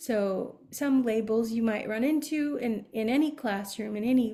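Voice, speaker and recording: Speaking with an American accent, a woman has a fairly high pitch and a dark, mellow, somewhat breathy tone. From Arizona, US Southwest. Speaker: behavior analyst and Montessori educator. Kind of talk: webinar presentation. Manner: hesitant, many fillers.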